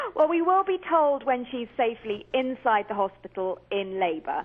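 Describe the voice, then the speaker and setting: A woman in a British accent talks with lively intonation. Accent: British accent, remarked on by hosts. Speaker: commentator and author. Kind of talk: radio interview.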